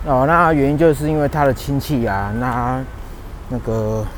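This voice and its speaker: A man talks fairly slowly, his voice carrying audible room echo amid noticeable background noise. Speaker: podcast host, engineer. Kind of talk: casual monologue while walking. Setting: outdoors, walking on bike path. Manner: halting, many fillers.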